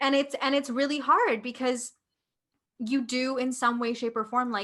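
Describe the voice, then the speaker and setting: In a Canadian accent, a woman talks at a moderate pace with a high pitch and monotone, flat intonation. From India, raised in Canada from childhood. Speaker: podcast co-host. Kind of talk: casual chat.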